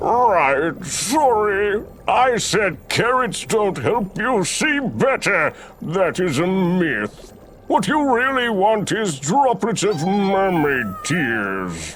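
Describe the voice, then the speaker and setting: A man performs a put-on character voice at a high pitch and a very slow pace. Clear background noise fills the recording. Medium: video game.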